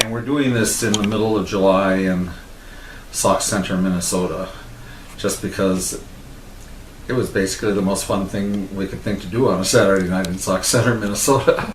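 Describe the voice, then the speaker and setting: A man with an American accent and fairly low pitch talks at a moderate pace with fairly even intonation and long, frequent pauses. Audible room echo and noticeable background noise surround him. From Texas. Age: 60s. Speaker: interviewee telling his life story. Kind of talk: casual autobiographical talk.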